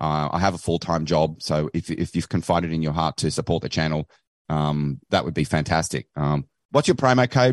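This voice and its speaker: Lively intonation from a man with a very deep, low voice and an Australian accent, dry and close with no echo. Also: moderate pace. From Australia, Queensland. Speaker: podcaster. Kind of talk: casual chat. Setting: video call.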